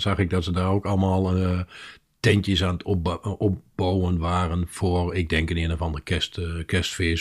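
In a very clean recording with a silent background, a man's voice is heard. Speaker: podcast co-host. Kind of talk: recipe tutorial; casual chat. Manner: slow.

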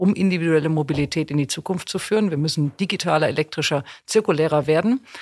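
With a very deep, low pitch, a woman talks at a fairly quick pace with ordinary pitch variation. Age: 50s. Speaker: corporate HR executive. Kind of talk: interview. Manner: energetic.

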